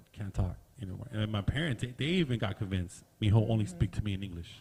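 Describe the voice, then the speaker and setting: At a very fast pace, a man speaks with a Southern California accent, his fairly low voice somewhat breathy and his pitch varying in an ordinary way. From Southern California (Downey). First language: Spanish. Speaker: podcast host. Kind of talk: casual podcast discussion.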